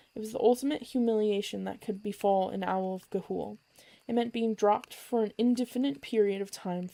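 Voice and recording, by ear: Words are read aloud here in a natural voice.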